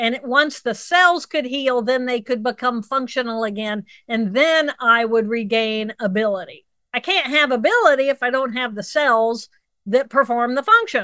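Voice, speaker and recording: At a moderate pace, a woman with a high pitch and a bright, sharp tone speaks with ordinary pitch variation. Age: 60s. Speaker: neuroanatomist. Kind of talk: interview. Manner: animated.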